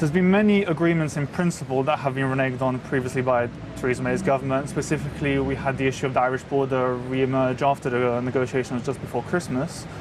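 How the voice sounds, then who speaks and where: A man with a London accent talks at a very fast pace. His intonation is fairly even, and there is noticeable background noise. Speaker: French citizen living in the UK. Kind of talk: TV news interview.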